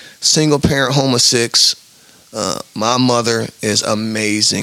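At a fairly slow pace and medium pitch, a man with an American accent speaks with fairly even intonation over noticeable background noise. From US Midwest, Omaha, Nebraska. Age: 30s. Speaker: life coach. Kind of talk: interview.

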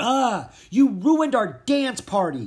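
This is a put-on character voice. The speaker is shouting. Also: man, extremely high pitch for a man, fairly slow pace. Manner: shouted, annoyed.

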